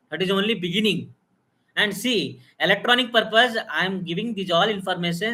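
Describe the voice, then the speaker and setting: A man projects a raised voice with a bright, sharp tone and high pitch. He talks at a fairly quick pace with ordinary pitch variation. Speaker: biomedical engineering teacher. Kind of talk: live technical lecture. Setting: live stream. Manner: loud; halting, many fillers.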